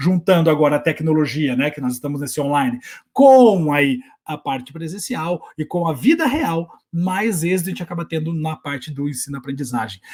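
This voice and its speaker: Lively intonation rises and falls across fairly quick speech. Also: man. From southern Brazil, Curitiba. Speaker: teacher and online educator. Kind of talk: workshop talk. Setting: home recording setup. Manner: fast; animated.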